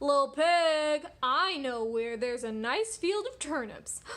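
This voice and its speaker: A put-on character voice from a woman, pitched high and delivered at a fairly slow pace. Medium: read story. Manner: sly.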